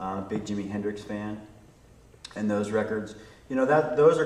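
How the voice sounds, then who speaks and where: With an American accent, this voice moves at a fairly quick pace with fairly even intonation, set against audible room echo and noticeable background noise. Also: man. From Virginia, US. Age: 40s. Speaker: record producer and audio engineer. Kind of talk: interview. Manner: hesitant, many fillers.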